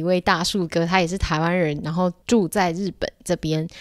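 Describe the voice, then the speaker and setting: A woman with a plain, everyday voice speaks at a medium pitch in a very clean recording with a silent background. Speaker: podcast host. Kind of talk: casual interview.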